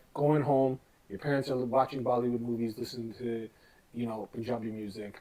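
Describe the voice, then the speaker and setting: This man talks at a moderate pace at a medium pitch, an unremarkable speaking voice. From Canada, Toronto. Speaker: music producer. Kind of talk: casual interview. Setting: radio station office.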